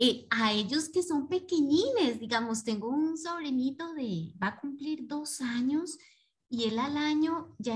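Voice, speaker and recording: In a high voice, a woman talks fairly slowly. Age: 30s. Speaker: participant. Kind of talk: casual chat. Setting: video call. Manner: calm.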